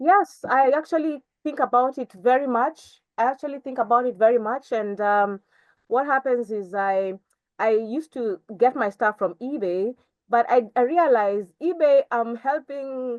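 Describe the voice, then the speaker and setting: A high-pitched woman's voice at a moderate pace, with ordinary pitch variation and a dry, close sound with no echo. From Kenya. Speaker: fashion designer. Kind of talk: interview answer.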